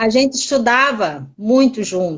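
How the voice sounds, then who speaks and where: Fairly high-pitched female speech, its pitch varying in an ordinary way. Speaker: teacher. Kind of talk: interview. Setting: live stream. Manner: energetic.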